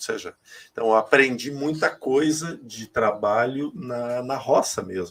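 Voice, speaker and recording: A man's unremarkable speaking voice at a fairly slow pace, with ordinary pitch variation. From Rio Grande do Sul, Brazil (north, small town). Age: 40s. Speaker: spiritual medium. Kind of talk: interview testimony.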